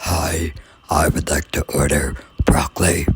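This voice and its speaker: The speaker uses a put-on character voice that is raspy. The delivery is fairly slow, with monotone, flat intonation. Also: man, very deep, low pitch for a man. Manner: strange.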